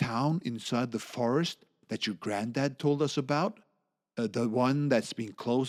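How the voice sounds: In a natural reading voice, the speaker talks over a quiet background.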